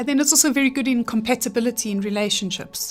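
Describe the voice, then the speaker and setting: Fairly even-toned woman's voice over music in the background. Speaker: handwriting analyst. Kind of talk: radio interview answer.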